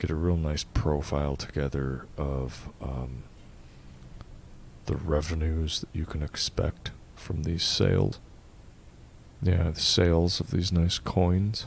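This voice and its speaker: Soft-spoken and in a calm tone, a man with a very deep, low pitch speaks at a very slow pace with fairly even intonation and long, frequent pauses. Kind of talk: ASMR roleplay, calm-spoken. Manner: calm, soft-spoken.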